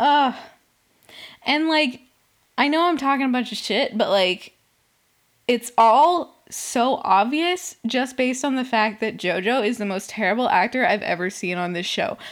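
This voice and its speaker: Animated in tone, a woman talks fairly slowly in a high pitch with lively intonation. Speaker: solo podcast host. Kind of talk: casual solo recap commentary. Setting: home recording.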